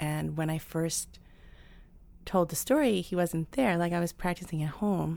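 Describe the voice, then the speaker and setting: A woman with a New York accent speaks at a moderate pace in a fairly low voice with a dark, mellow tone. Her pitch varies in an ordinary way, and the recording is very clean with a silent background. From New York, Queens. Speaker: storyteller. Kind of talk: stage storytelling; casual interview. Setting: stage with audience.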